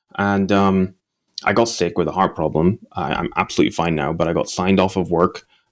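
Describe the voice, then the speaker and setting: With an American accent, a man speaks at a very fast pace. His intonation stays fairly even. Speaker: entrepreneur. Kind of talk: podcast interview.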